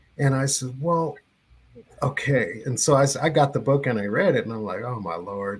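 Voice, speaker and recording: Speaking at a moderate pace, a man has a somewhat breathy voice. His intonation is lively. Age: 60s. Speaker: radio personality. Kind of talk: casual interview. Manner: halting.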